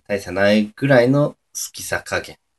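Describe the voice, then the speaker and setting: Recorded with a dry, close sound and no echo, a man speaks at a fairly low pitch. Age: 20s. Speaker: amateur podcaster. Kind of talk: casual solo talk. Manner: hesitant, many fillers.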